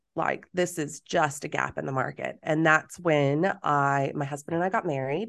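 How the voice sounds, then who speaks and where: A moderate pace with an American accent and hardly any pauses. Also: woman, very deep, low pitch for a woman. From Texas. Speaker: business coach. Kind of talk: casual chat. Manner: animated.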